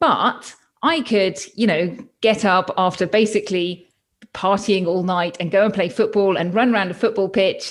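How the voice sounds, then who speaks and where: With a British accent, a woman speaks at a medium pitch and a moderate pace, with ordinary pitch variation. The recording is very clean, with a silent background. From UK. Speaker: pediatrician turned health coach. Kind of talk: interview.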